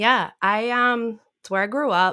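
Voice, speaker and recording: A woman's animated, bright, sharp voice with an American accent, fairly slow, on a very clean recording with a silent background. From Massachusetts North Shore, north of Boston. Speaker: podcast guest, sports card podcaster. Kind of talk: casual chat.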